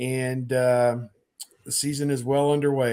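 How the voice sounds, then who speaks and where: A man with a plain, everyday voice talks at a moderate pace. His pitch is fairly high. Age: 50s. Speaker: sports journalist. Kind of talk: casual chat.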